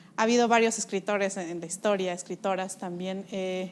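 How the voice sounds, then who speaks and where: Her intonation holds fairly even. The speaker is a woman. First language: Mixe (speaking Spanish). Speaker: interviewer. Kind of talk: interview. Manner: halting with many fillers.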